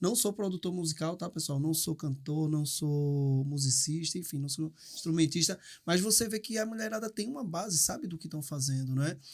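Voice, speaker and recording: A man speaks at a moderate pace with a fairly high pitch and ordinary pitch variation, in a very clean recording with a silent background. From Brazil, Recife. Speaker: podcast host. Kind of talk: casual chat. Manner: halting.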